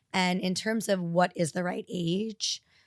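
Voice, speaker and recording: An ordinary speaking voice with ordinary pitch variation, in a dry, close sound with no echo. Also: woman. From New York City. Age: 40s. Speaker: fertility doctor. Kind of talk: podcast interview. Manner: conversational, with fillers.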